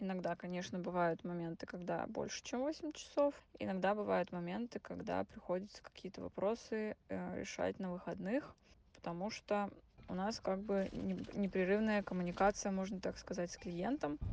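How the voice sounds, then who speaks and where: A woman's unremarkable speaking voice at medium pitch, with ordinary pitch variation. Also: moderate pace. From Urals, Russia (near Yekaterinburg). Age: 20s. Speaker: project manager. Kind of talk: recorded testimony.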